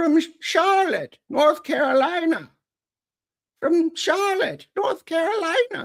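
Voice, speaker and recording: A put-on character voice, raspy and extremely high in pitch, at a fairly slow pace. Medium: read story. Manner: stammering, shaky.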